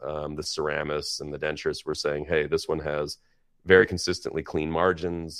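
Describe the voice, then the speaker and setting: A man speaks with a very deep, low pitch. His pace is moderate and his intonation fairly even. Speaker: prosthodontist. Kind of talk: interview. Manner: casual, conversational.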